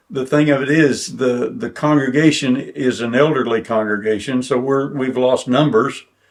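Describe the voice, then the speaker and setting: Moderate pace with an Oklahoma accent. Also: man. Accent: southern US, Oklahoma. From Oklahoma, Bartlesville. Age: 80s+. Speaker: preacher and retired school principal. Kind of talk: oral history interview. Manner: halting.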